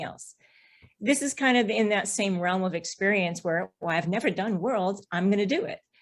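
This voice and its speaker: With an American accent, a woman speaks in a plain, everyday voice. Her pitch is medium, her intonation lively and her pace fairly quick. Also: big swings in loudness. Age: 60s. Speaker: BMX racer. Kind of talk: podcast interview.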